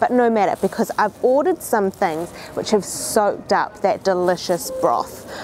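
Music plays in the background as a woman talks with lively intonation, in a dry sound with no echo. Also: moderate pace. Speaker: food travel host. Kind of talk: casual vlog chat. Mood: cheerful, enthusiastic. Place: street.

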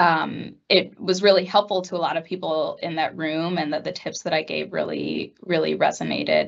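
A woman with an American accent at a moderate pace, hardly any pauses, over a quiet background. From New Jersey. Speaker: product marketing manager; panelist. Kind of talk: panel discussion. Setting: office. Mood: warm, reflective. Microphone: webcam.

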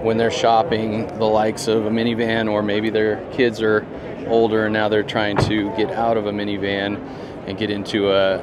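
Over noticeable background noise, a man talks at a moderate pace with a dry sound and no echo. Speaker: car reviewer. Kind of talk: walkaround commentary. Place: hall. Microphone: phone near.

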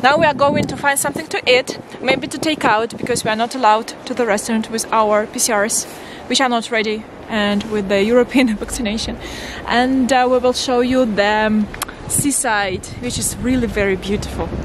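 Pitched fairly high, a woman talks with ordinary pitch variation as noticeable background noise sounds behind. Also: moderate pace, dry sound with no echo. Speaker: travel vlogger. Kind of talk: casual talk to camera. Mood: cheerful, excited. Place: street. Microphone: phone near.

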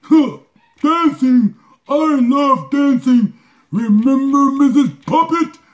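A man performs a cartoonish character voice at an extremely high pitch. He speaks at a very slow pace. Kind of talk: comedic puppet advice show. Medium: puppet.

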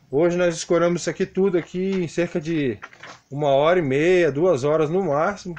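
Speaking at a moderate speed, a man shows ordinary pitch variation. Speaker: construction worker vlogger. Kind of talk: casual tutorial vlog chat. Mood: friendly, warm sign-off. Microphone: phone near.

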